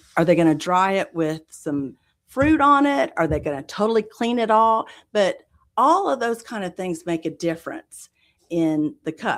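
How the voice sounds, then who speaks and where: In a very clean recording with a silent background, a woman with a Southern US accent speaks at a moderate pace and medium pitch, her pitch swinging very widely. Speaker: coffee roaster business owner. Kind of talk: interview.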